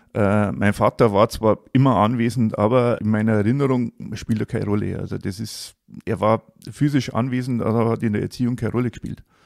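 A man at medium pitch, fairly quick in pace, with fairly even intonation and a dry, close sound with no echo. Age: 50s. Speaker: coaching client sharing his life story. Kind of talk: personal testimony in a casual interview. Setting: in person, face to face. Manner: halting, with many fillers.

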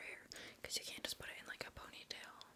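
Whispering in a gentle tone, a woman speaks at a fairly quick pace. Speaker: ASMR creator. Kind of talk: ASMR personal attention roleplay. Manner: soft, whispered, gentle. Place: home room. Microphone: studio mic.

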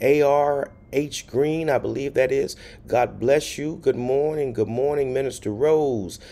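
A man talks at a fairly slow pace. His tone is dark and mellow. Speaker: pastor. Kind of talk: livestream greetings to viewers. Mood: warm, cheerful. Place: home room. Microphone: phone near.

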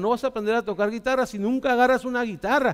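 A man speaks with a high pitch and an animated tone. The background is quiet. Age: 40s. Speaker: pastor. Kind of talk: sermon. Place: church. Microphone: headset.

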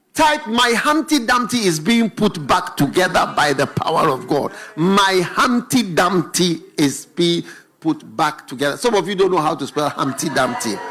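A man talks at a fairly slow pace while faint music plays in the background. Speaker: preacher. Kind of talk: sermon. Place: studio. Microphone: handheld.

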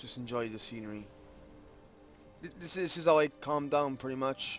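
With music in the background, a man with a fairly high pitch speaks in a relaxed tone, with ordinary pitch variation and big swings in loudness. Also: moderate pace. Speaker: gaming YouTuber. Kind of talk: casual gameplay commentary. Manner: relaxed, chill.

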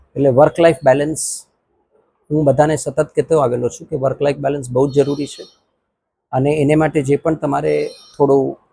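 A man's fairly high voice has a dark, mellow tone, sounds somewhat breathy and stays monotone and flat while its loudness swings widely. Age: 50s. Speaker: amateur ultramarathon runner. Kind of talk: interview statement.

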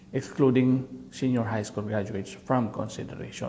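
A man with vocal fry and ordinary pitch variation at a moderate pace, with audible room echo. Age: middle-aged. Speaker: vlogger. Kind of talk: casual commentary. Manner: halting.

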